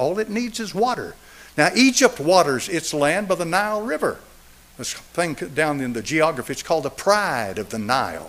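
A high-pitched man's voice in an Appalachian accent, with very wide pitch swings. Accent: Southern US (Appalachian). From East Tennessee. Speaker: pastor. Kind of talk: sermon. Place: church. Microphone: podium.

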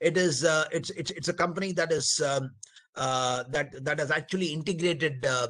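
A man with an Indian accent, fairly high-pitched, bright and sharp in tone, at a moderate pace against a quiet background. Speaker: webinar moderator, army colonel. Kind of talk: panel moderation. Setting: video call. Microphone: video call.

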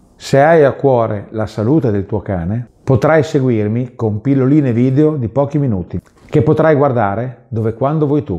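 A man speaks in a Bolognese accent at a moderate pace. The background is quiet. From Bologna, northern Italy; northern Italy. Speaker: pet food producer and video host; video host. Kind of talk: promotional presentation. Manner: friendly direct address.

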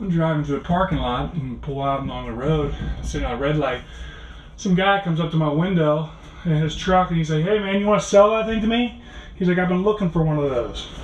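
A man speaks at a fairly quick pace with ordinary pitch variation. Light background noise and audible room echo are present. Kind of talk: casual vlog chat. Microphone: phone near.

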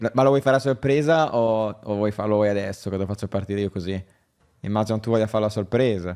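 A man's fairly low voice with a dark, mellow tone at a very fast pace, with ordinary pitch variation against a quiet background. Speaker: gaming streamer. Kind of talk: live stream commentary. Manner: casual, chatty. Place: home room.

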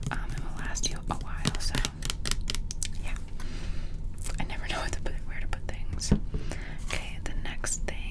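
The pace is moderate. Pauses are long and frequent. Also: woman. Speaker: ASMR creator. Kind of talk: ASMR skincare haul, casual talk to camera. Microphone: studio mic.

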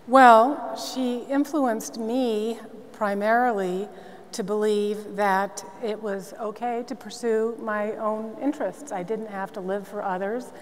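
Her pitch varies in an ordinary way as the woman talks at a fairly slow pace. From Massachusetts, Newton; Massachusetts. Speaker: nonprofit CEO; panelist. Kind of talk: panel discussion. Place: stage.

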